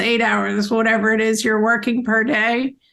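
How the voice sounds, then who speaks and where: A woman's fairly high voice with a bright, sharp tone. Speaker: business owner. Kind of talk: interview.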